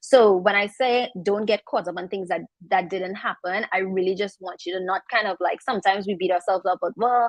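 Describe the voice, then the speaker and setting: Delivered at a fairly quick pace with fairly even intonation, this voice carries a strong Trinidadian accent. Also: woman. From Trinidad, south. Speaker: makeup artist and content creator. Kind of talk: panel discussion.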